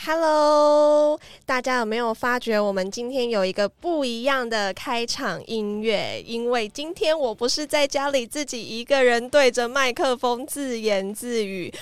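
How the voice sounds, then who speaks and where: On a very clean recording with a silent background, a woman speaks fairly slowly at a high pitch with ordinary pitch variation. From Taiwan, Tainan. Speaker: podcast host. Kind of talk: casual chat. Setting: studio.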